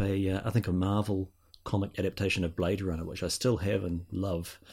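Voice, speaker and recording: A man with a New Zealand accent talks at a moderate pace in a dark, mellow, somewhat breathy tone. The recording is very clean, with a silent background. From New Zealand, South Island. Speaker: podcaster, guest. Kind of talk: casual chat. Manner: halting, many fillers.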